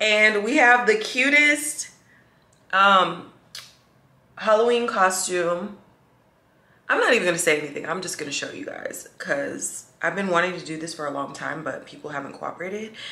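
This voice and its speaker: Very wide pitch swings and big swings in loudness, with long, frequent pauses and audible room echo. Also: woman, medium pitch for a woman, moderate pace. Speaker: vlogger. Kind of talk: casual vlog talk to camera.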